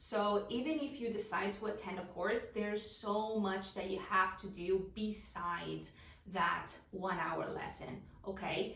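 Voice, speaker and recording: A woman's fairly slow speech with ordinary pitch variation, noticeable background noise and audible room echo. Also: medium pitch for a woman. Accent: Italian. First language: Italian. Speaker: language teacher. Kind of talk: tutorial. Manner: animated.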